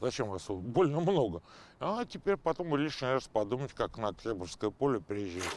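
Very wide pitch swings mark a man's speech at a moderate pace. The sound is dry, with no echo. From Moscow, Oktyabrskoye Pole; Moscow. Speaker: football fan veteran. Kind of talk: casual storytelling interview. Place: street. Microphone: lapel.

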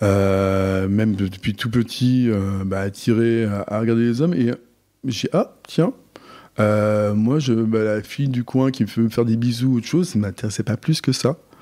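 A man's dark, mellow tone at medium pitch, with big swings in loudness, in a very clean recording against a silent background. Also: ordinary pitch variation, moderate pace. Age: 40s. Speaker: guest telling his life story. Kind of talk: personal testimony. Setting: host's living room. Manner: halting, many hesitations.

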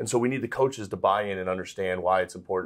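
A man is speaking in a General American accent. The background is quiet. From Arizona (Scottsdale); Arizona. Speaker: college athletics fundraising executive. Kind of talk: interview. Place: studio.

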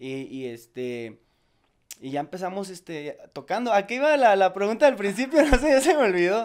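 Moving at a moderate pace, a high-pitched man makes very wide pitch swings and big swings in loudness. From Monterrey, northern Mexico; Mexico. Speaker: ska band singer; interviewee. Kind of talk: casual interview chat. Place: home room. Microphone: handheld.

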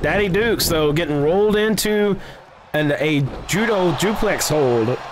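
The speaker has an animated tone and a fairly slow pace. Noticeable background noise runs underneath. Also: man. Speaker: wrestling commentator. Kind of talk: live wrestling commentary. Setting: video game wrestling commentary voiceover. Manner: animated, excitable play-by-play. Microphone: headset.

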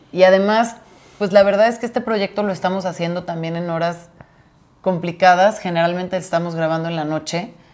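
A woman's fairly quick delivery with fairly even intonation. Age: 30s. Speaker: podcast co-host, florist; podcast co-host. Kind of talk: casual chat. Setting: home. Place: home room. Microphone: lapel.

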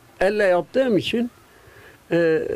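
A man talks at a fairly slow pace. His voice is high-pitched. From Gaziantep, Turkey. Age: 80s+. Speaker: kilim weaver. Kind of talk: interview answer. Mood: earnest, concerned for craft. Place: workshop. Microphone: handheld.

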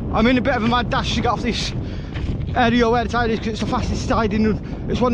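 Loud background noise sits under a man talking at a very fast pace. The sound is dry, with no echo. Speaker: explorer vlogger. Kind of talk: casual vlog chat. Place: beach. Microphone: phone near.

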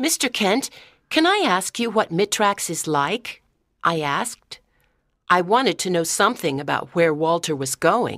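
A woman with an ordinary speaking voice uses lively intonation in a dry, close sound with no echo. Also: medium pitch for a woman, fairly slow pace. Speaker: audiobook narrator. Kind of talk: scripted narration. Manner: clear, measured pace for English learners.

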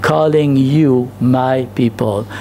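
Against light background noise, a man speaks at a very slow pace with ordinary pitch variation. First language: not English. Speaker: pastor. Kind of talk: sermon. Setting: church. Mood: earnest, engaged. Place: church. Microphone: podium.

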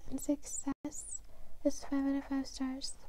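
A woman speaks at a very slow pace. The sound is dry, with no echo. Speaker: ASMR creator. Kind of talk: ASMR horoscope reading. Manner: whispered, soft. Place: home room. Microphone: lapel.

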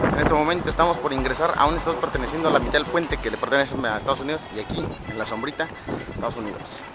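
A man at a very fast pace with ordinary pitch variation, dry sound with no echo, and loud music in the background. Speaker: radio announcer / locutor. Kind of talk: casual talk to camera, vlog-style tour. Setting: outdoors, walking at the border bridge. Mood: jokey, relaxed. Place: street. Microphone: phone near.

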